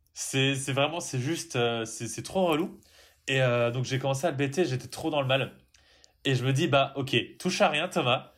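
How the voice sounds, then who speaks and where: Fairly high-pitched for a man, this male voice moves at a fairly slow pace with long, frequent pauses and ordinary pitch variation, recorded very cleanly over a silent background. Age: 20s. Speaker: podcast co-host. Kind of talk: casual chat.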